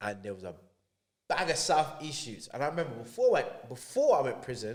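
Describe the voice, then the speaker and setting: With a London accent, a man speaks in an animated tone at a fairly quick pace, his fairly high voice showing lively intonation and big swings in loudness. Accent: London multicultural English. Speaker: podcast guest telling life story. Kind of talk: casual chat.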